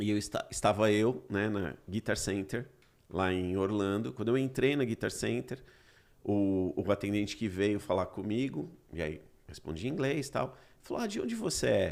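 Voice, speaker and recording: A man speaks at a moderate pace in a normal speaking voice. His pitch is fairly low and his intonation lively. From Brazil. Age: 40s. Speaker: podcast host. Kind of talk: casual chat.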